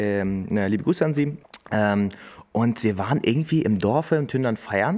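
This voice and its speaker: Lively intonation marks this man's unremarkable speaking voice, set at a medium pitch. He talks at a fairly slow pace with very even loudness. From Hameln, Lower Saxony, Germany. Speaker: podcast host. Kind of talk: casual chat. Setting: coworking space studio.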